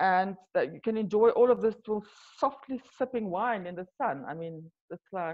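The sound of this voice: At a moderate pace, a woman speaks with lively intonation. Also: medium pitch for a woman.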